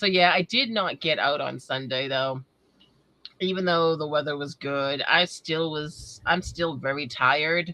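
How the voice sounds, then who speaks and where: A woman with a New England accent, very deep and low in pitch, with ordinary pitch variation and a fairly slow pace. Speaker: metal detecting hobbyist, livestream host. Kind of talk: casual chat. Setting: livestream.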